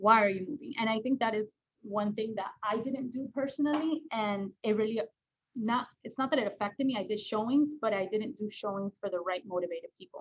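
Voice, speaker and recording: The woman's pitch is fairly high and varies in an ordinary way. She keeps up a fairly quick pace. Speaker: real estate agent trainer. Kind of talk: training session. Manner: fast; casual, lots of fillers.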